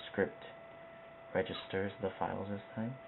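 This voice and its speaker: A soft-spoken man talks at a moderate pace in a fairly low pitch. Noticeable background noise can be heard. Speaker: video tutorial creator. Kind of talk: tutorial. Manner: quiet, soft-spoken; casual, hesitant with fillers.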